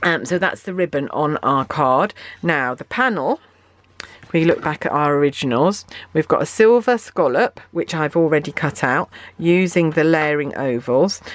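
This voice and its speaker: A woman with a British accent speaks at a very deep, low pitch and moderate pace, her loudness swinging widely. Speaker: craft demonstrator. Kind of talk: tutorial. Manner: hesitant with fillers.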